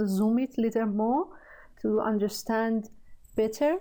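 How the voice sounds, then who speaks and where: Speaking very slowly with a Persian accent, a woman has a dark, mellow tone at a fairly high pitch. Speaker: programming tutor. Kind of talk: tutorial. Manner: halting, many fillers.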